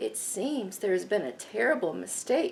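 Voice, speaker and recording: Putting on a character voice at medium pitch, a woman speaks at a moderate pace. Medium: read story.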